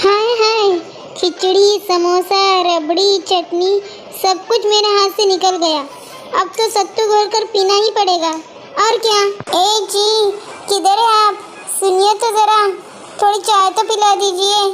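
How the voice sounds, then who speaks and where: A woman speaks in a cartoonish character voice with extremely high pitch and a flat, monotone delivery. Her pace is fairly slow, with long, frequent pauses, very even loudness and clear background noise. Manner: whiny, dramatic.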